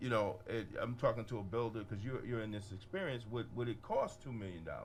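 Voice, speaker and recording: A man with a medium-pitched voice talks at a fairly quick pace with ordinary pitch variation. Noticeable background noise and audible room echo fill the recording. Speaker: radio host. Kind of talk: radio talk show interview. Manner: loud.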